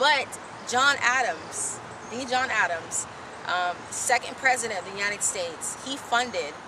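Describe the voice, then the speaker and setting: Amid audible room echo and noticeable background noise, a woman talks at a fairly slow pace with lively intonation. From Haiti, raised in the US. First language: Haitian Creole. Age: young. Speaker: aspiring author. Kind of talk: interview. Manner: many fillers, halting.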